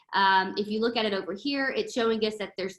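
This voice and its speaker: A woman uses an ordinary speaking voice, pitched fairly high and with ordinary pitch variation. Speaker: product trainer. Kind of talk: online training session.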